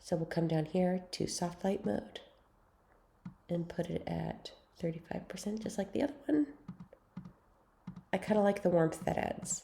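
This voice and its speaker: With vocal fry and long, frequent pauses, a woman speaks at a moderate pace in a fairly low pitch and ordinary pitch variation. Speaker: photo editing tutor. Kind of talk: tutorial. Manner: casual, chatty.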